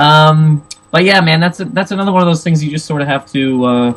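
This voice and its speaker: This man speaks with ordinary pitch variation. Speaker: stand-up comedian. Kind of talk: casual chat. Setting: video podcast interview. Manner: fast; loud.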